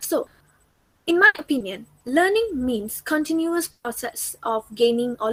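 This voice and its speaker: A woman's voice with a non-native accent and very wide pitch swings, in a dry, close sound with no echo. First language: not English. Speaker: student teacher. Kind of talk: recorded class presentation. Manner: hesitant with fillers.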